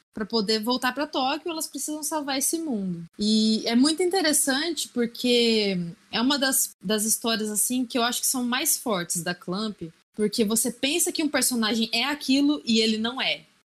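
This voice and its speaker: Against a quiet background, a woman talks at a moderate pace in a high pitch with lively intonation. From Brazil, Assis (São Paulo state). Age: 30s. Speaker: podcast guest. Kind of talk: casual chat.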